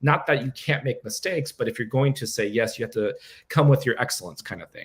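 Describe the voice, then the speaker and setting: A man's somewhat breathy, medium-pitched voice at a very fast pace. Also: ordinary pitch variation. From Cuban family, grew up in Montreal. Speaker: drummer. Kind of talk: interview. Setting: live stream. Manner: articulate.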